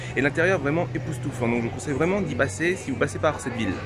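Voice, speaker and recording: The speaker is a man with a fairly high pitch. Noticeable background noise is present. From France, Normandy. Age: 20s. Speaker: travel vlogger. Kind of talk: travel vlog narration.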